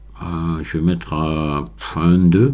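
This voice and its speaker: Pitched very deep and low, the man's voice carries a dark, mellow tone. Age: 60s. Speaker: Blender tutorial maker. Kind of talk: tutorial. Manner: halting, many hesitations.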